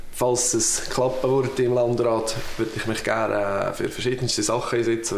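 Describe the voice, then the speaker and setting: With audible room echo, a man speaks at a moderate pace and medium pitch in a Swiss German accent, his intonation monotone and flat. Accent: Swiss German (Uri). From Switzerland (canton Uri). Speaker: political candidate. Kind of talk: campaign self-introduction. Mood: calm, friendly. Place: home room.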